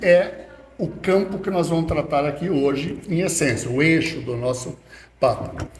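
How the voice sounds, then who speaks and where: Against noticeable background noise and audible room echo, a man speaks very slowly with lively intonation. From Rio Grande do Sul, Brazil (Passo Fundo). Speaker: chemical engineer, environmental scientist. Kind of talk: casual podcast interview.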